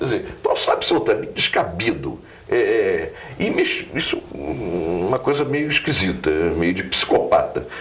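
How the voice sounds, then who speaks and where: A man talks fairly slowly while noticeable noise fills the background. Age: 70s. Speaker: journalist. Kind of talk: political commentary. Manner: halting, many hesitations.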